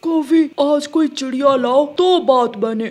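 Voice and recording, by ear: This cartoonish character voice sits high in pitch. It moves at a fairly slow pace.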